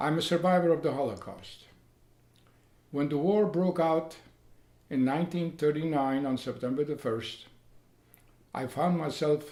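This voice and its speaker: Moving at a moderate speed, this man's voice has a dark, mellow tone. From Poland, Lodz. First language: Polish or Yiddish. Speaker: Holocaust survivor. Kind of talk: testimony.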